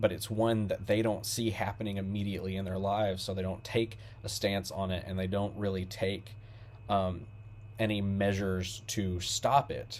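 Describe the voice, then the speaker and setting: Speaking with a Southern US accent, a man keeps a fairly low pitch and monotone, flat intonation. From Kentucky, small town. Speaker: music reviewer. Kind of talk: album review monologue. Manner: halting, many fillers.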